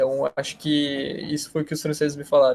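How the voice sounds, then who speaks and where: A man talks at a fairly quick pace. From Brazil. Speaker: exchange student. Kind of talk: interview. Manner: halting.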